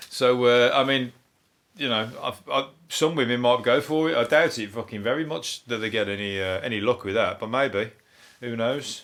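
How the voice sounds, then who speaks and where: A man's medium-pitched voice with a Birmingham accent, at a moderate pace with ordinary pitch variation. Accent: Brummie. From Birmingham, England. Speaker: comedian. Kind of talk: comedy podcast monologue.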